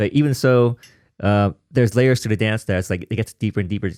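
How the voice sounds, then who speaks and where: A man with a Vietnamese accent at a very fast pace, fairly low pitch and fairly even intonation, on a very clean recording with a silent background and a dry, close sound with no echo. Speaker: podcast host and house dancer. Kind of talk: interview conversation. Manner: halting, many fillers.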